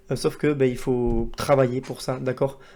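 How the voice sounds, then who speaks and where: Dark and mellow in tone, the voice stays monotone with flat intonation. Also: man. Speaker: trading educator and YouTuber. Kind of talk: casual video monologue to camera. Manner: fast, with admitted poor articulation; hesitant, many fillers.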